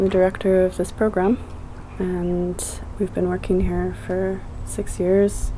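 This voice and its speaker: A woman is heard over noticeable background noise. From Britain. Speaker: garden program director. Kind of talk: interview. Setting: outdoors.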